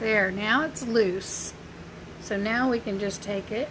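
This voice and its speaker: A woman with a Southern US accent speaks at a fairly slow pace. Her pitch varies in an ordinary way, with noticeable background noise behind her. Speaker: crafter and small business owner. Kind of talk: live craft tutorial. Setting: Facebook live stream. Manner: casual, chatty.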